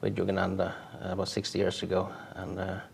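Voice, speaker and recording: Music plays in the background. A man speaks over it in a fairly low voice. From Norway. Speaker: spiritual author and yoga teacher. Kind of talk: interview. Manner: halting, many fillers.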